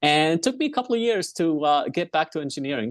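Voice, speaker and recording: Against a quiet background, a man speaks with an Arabic accent. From Egypt, Alexandria. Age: 40s. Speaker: engineer and entrepreneur. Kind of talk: interview. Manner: halting, many fillers.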